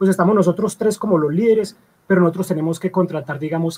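This man has a high pitch and a dark, mellow tone. His pitch varies in an ordinary way. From Colombia, Medellín. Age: 30s. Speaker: comic artist. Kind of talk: casual interview.

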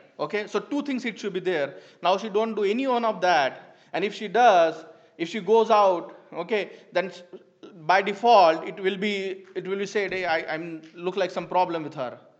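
Ordinary pitch movement and a moderate pace from a man with a high voice. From India. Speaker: church member giving a talk. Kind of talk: church teaching talk. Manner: halting, many fillers.

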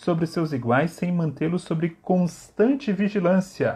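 Against a quiet background, a man with a high pitch and a dark, mellow tone speaks at a fairly slow pace. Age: 30s. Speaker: theology lecturer. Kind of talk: lecture. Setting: livestream. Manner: halting.

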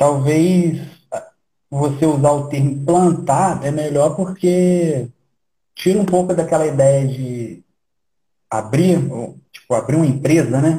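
A man with a fairly high pitch and a dark, mellow tone sounds somewhat breathy, with ordinary pitch variation. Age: 30s. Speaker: church planter. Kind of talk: casual interview.

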